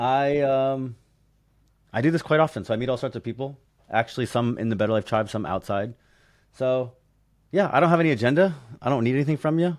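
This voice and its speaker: Against a quiet background, a man at a medium pitch talks at a very fast pace broken by long, frequent pauses. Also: ordinary pitch variation. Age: 40s. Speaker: real estate investor and mentor. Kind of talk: casual chat.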